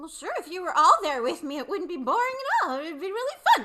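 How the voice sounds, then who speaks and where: A put-on character voice at a very fast pace. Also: female-sounding voice, extremely high pitch for a woman. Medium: stage play. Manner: innocent, curious.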